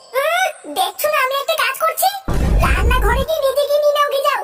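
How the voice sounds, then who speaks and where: A woman's cartoonish character voice, extremely high-pitched, at a fairly quick pace, with faint music in the background. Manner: shrill, scolding.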